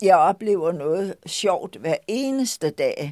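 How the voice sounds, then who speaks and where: In a very clean, dry and close recording with a silent background and no echo, a woman speaks very slowly in a dark, mellow tone with vocal fry and very wide pitch swings. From Denmark, Lolland. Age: 80s+. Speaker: shop owner. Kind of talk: personal storytelling.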